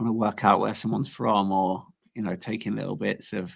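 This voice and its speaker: A man's fairly low voice in a strong Leicester accent, with vocal fry, ordinary pitch variation and a moderate pace, on a very clean recording with a silent background. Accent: Leicester English, strong local. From England, Leicester. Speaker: coin artist. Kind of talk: casual chat. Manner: halting, many false starts.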